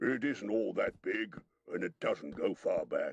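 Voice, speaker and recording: A man does a raspy, put-on character voice at a fairly slow pace. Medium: read story.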